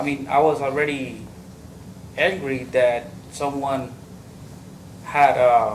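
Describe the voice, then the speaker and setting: Very slowly and with long, frequent pauses, a man speaks at a medium pitch amid audible room echo. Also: fairly even intonation. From Mexico. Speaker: trial witness. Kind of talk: witness testimony. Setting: courtroom. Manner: halting.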